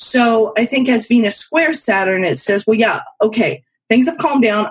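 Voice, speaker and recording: A woman speaks at a moderate pace with a fairly high pitch. Her voice is somewhat breathy, and her intonation is lively. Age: 50s. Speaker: professional astrologer. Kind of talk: casual chat.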